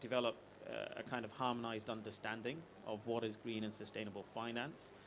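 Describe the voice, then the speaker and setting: A man talks at a fairly quick pace with medium pitch. Audible room echo colors the recording. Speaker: ethical finance executive, panelist. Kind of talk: conference panel talk. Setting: conference pavilion with audience. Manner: hesitant, many fillers.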